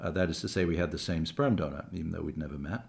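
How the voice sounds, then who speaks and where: Somewhat breathy, a man talks in a very deep, low pitch with ordinary pitch variation. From England and Canada. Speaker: documentary filmmaker and screenwriter. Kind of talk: interview. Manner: halting, many repetitions.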